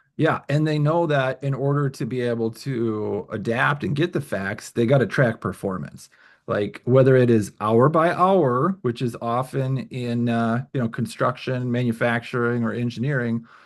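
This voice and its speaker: This man talks at a moderate pace with hardly any pauses. His pitch is medium with ordinary variation, over a quiet background. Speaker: webinar presenter on lean management. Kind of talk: webinar presentation. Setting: online webinar.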